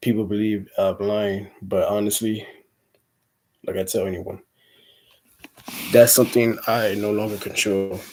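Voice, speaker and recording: Monotone and flat, a man speaks at a fairly slow pace with long, frequent pauses. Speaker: vlogger. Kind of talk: casual vlog monologue. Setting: indoors, fan turned off.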